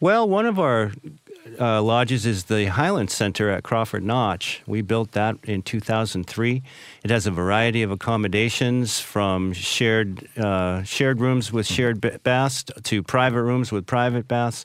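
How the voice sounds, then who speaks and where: A man speaks in a normal speaking voice at a medium pitch and a fairly slow pace, with very even loudness and ordinary pitch variation. The recording is very clean, with a silent background. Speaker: outdoor club representative. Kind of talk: radio interview.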